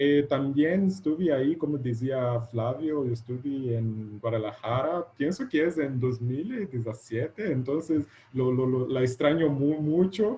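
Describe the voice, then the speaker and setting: Speaking at a fairly slow pace, a man with a Portuguese accent uses a medium pitch and ordinary pitch variation. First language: Portuguese (speaking Spanish). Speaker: educational technology researcher. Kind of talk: lecture. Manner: halting.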